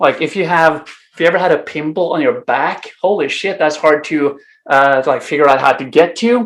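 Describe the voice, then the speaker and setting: In a Norwegian accent, a man talks at a fairly quick pace. His pitch is fairly high, with ordinary variation. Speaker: improv teacher. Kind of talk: conference talk. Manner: hesitant, many fillers.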